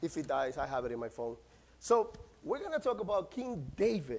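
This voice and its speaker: A man speaks at a fairly quick pace in a Central American Spanish accent. His pitch swings very widely. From Nicaragua. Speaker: pastor. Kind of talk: sermon. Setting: church. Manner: passionate. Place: church. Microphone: lapel.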